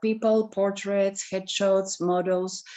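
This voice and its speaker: In a non-native accent, a woman talks at a medium pitch. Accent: foreign. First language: not English. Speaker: photographer. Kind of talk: elevator pitch.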